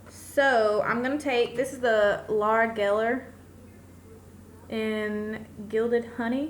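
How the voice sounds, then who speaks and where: A woman at a fairly high pitch and very slow pace, with fairly even intonation, long, frequent pauses and audible room echo. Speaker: beauty vlogger. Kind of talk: makeup tutorial. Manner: loud.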